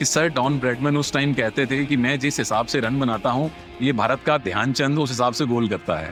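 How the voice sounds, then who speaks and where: Over music in the background, a man talks at a moderate pace with a medium pitch and ordinary pitch variation. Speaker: sports commentator. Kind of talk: podcast interview answer.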